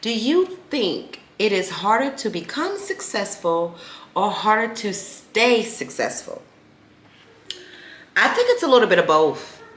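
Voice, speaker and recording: Over noticeable background noise, a woman with a fairly high pitch makes very wide pitch swings and leaves long, frequent pauses. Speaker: podcast host. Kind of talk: casual solo podcast talk. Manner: fast when engaged.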